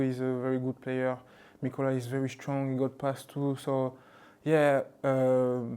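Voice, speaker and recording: A man speaks in a French accent at a fairly slow pace, his pitch medium and his tone dark and mellow. His intonation is monotone and flat. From France, Toulouse (born in Mali). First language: Bambara. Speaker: rugby league player. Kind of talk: casual interview. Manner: halting, many fillers.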